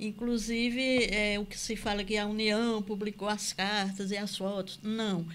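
Delivered at a fairly slow pace with hardly any pauses, the speech stays monotone and flat. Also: woman, medium pitch for a woman. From Campina Grande, Paraíba, Brazil. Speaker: author and cultural producer. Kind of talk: interview. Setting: studio.

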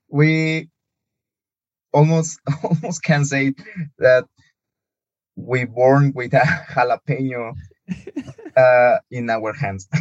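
Very slowly and with long, frequent pauses, a man speaks at fairly high pitch in a Spanish accent. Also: ordinary pitch variation. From Mexico, Morelia. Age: 20s. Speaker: architect. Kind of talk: casual interview. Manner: halting.

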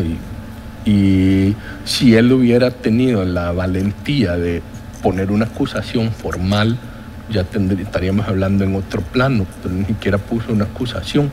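A man talks at a fairly slow pace in a fairly low pitch with ordinary pitch variation. Noticeable background noise is present. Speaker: economist, former public health-insurance head. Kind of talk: interview. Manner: formal.

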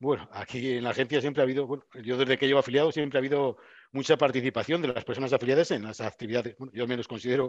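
A man at a medium pitch, very fast pace, and fairly even intonation. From Spain, Burgos. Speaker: regional office director. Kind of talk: interview.

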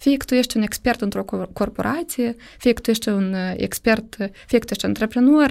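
A woman's fairly high voice with vocal fry and ordinary pitch variation, at a moderate pace, on a very clean recording with a silent background. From Moldova. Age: 30s. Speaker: startup program director. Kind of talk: podcast interview.

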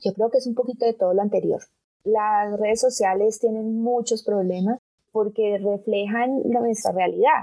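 A woman speaks at a moderate pace and a fairly high pitch. She has an unremarkable speaking voice with fairly even intonation. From Colombia, Bogotá. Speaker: digital rights organization director. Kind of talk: interview.

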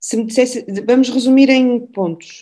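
A woman's dark, mellow tone at a moderate pace. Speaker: endocrinologist. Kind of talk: interview.

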